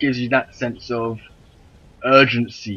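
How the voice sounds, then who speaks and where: A man with a Welsh accent, at medium pitch. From Wales. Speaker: gaming YouTuber. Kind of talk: gameplay commentary. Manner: animated.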